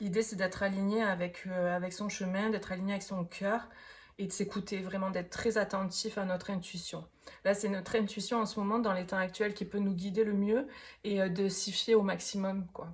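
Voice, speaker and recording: Speaking with a southern French accent, a woman has a somewhat breathy voice at medium pitch. Her delivery is monotone and flat, at a moderate pace. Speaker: tarot reader. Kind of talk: tarot reading. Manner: hesitant, many fillers; casual.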